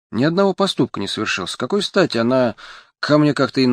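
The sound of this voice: Lively intonation in an unforced reading voice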